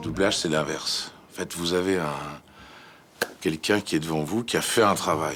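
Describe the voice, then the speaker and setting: Music plays behind a man whose speech moves at a moderate pace, his pitch varying in an ordinary way. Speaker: voice actor. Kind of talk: interview answer.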